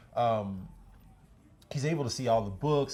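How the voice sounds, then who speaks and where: With a dark, mellow tone, the man sounds somewhat breathy. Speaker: business owner and channel host. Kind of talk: personal storytelling monologue. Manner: halting, many fillers and repetitions; casual.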